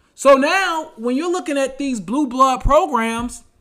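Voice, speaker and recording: Using a raised, projected voice, a man with an American accent talks at a fairly slow pace with an extremely high pitch. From North Carolina (Charlotte). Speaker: sports podcast host. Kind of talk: solo sports talk podcast. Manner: casual, filler-heavy.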